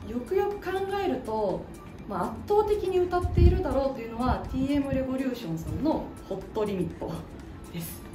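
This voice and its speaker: Clear music plays in the background as a woman talks at a fairly quick pace, her high pitch making very wide swings. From Osaka. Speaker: voice actor. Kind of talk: self-introduction interview answer. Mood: cheerful, friendly. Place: studio.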